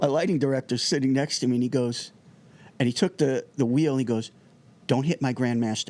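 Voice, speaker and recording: A speaker with a New Jersey accent talks at a fairly quick pace and very even loudness. The recording is very clean, with a silent background. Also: man, medium pitch for a man, ordinary pitch variation. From New Jersey (Irvington). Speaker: music technology entrepreneur and TV producer. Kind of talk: casual interview chat. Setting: studio. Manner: fast; animated.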